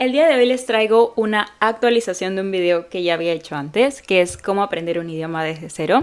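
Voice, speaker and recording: A woman talks in an unremarkable speaking voice at medium pitch. She keeps a moderate pace. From Peru. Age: 20s. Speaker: English teacher and language learner. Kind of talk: casual talk to camera. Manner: upbeat, friendly.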